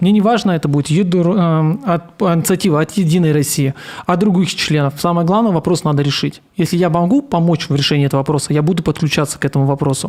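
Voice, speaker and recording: A man talks at a very fast pace in a high pitch. His loudness stays very even while his pitch varies in an ordinary way. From Komi Republic, Russia. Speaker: newly elected city councillor and activist. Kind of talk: live online interview about election results. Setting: live internet broadcast. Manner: halting, with self-corrections and stammers.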